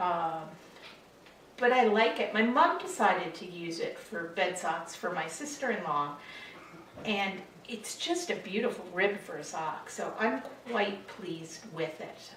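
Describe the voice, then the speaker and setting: Through noticeable background noise and audible room echo, a woman at medium pitch talks fairly slowly with lively intonation and big swings in loudness. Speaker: knitting podcaster. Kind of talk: casual chat.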